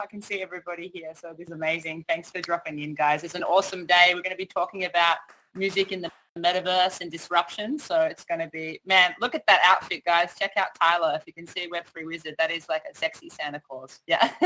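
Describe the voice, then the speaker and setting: Talking at a fairly quick pace in an Australian accent, a woman has a bright, sharp tone and big swings in loudness. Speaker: event MC and music artist. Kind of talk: hosting a virtual panel event. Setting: virtual metaverse event online. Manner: animated.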